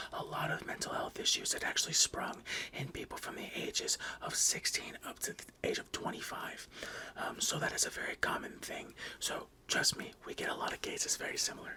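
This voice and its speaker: A man whispers at a fairly quick pace over noticeable background noise. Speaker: ASMR creator playing a therapist. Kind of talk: ASMR roleplay. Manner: soft-spoken, whispering.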